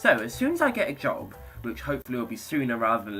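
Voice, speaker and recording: Against music in the background, a man talks in an upbeat tone at a moderate pace. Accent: British. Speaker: YouTuber. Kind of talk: casual talk to camera.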